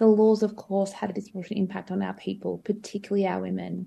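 The voice has a dark, mellow tone and is somewhat breathy. It moves at a very fast pace with an Australian accent. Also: woman. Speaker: legal service CEO. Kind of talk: interview.

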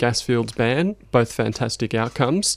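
An Australian accent carries the speech. Behind it the background is silent, and the recording is very clean. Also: man. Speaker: climate campaign coordinator. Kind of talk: radio interview. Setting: studio.

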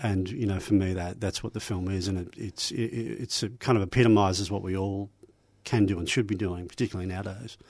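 Over a quiet background, a man with a normal speaking voice talks at a fairly quick pace in a fairly low pitch. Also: fairly even intonation. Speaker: filmmaker. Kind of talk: radio interview.

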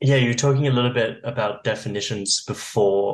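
A man speaks with an English accent at a medium pitch. His intonation stays fairly even. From England. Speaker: radio host. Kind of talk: casual radio chat. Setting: studio.

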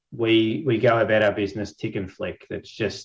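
Against a quiet background, a man talks at medium pitch with an Australian accent. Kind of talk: panel discussion. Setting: video call webinar.

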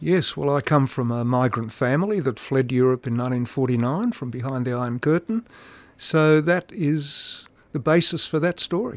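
A man's fairly high pitch in an Australian accent, with ordinary pitch variation, a moderate pace, and a very clean recording with a silent background. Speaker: amateur writer. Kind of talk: interview. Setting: studio.

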